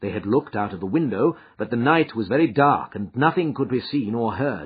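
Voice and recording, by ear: A man speaks at a moderate pace and medium pitch, his lively intonation carrying a husky, rough edge.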